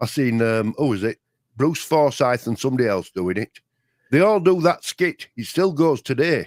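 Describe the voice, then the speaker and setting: A man with a Yorkshire accent at a medium pitch and moderate pace, with lively intonation and a dry, close sound with no echo. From Yorkshire, England. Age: old. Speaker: co-host of a live chat show. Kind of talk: casual chat. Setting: live stream. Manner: hesitant, with many false starts.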